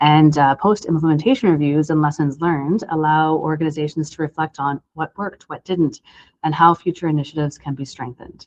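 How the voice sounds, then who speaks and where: A woman with a Canadian accent talks at a fairly quick pace in a very deep, low pitch, her intonation fairly even and the sound dry and close with no echo. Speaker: emergency communications supervisor. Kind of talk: lecture. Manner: fast.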